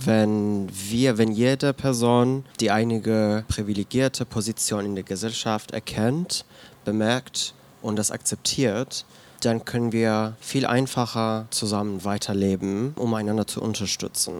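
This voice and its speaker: A man's normal speaking voice at medium pitch, fairly even in intonation and fairly slow in pace. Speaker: queer activist and writer. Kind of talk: reading aloud own essay. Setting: bar stage with live audience.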